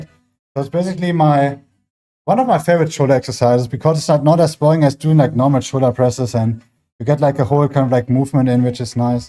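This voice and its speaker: On a very clean recording with a silent background, a man mumbles at a very fast pace in a dark, mellow tone with a fairly high pitch. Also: ordinary pitch variation. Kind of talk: casual, conversational, fitness talk. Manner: slightly mumbling.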